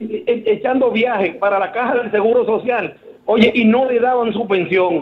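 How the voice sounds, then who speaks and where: A man speaks at a fairly slow pace in an extremely high pitch, with ordinary pitch variation. Light background noise is present. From Dominican Republic. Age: 60s. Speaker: caller, retired public employee; caller. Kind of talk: phone-in comment. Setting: phone call. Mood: critical, indignant. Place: studio.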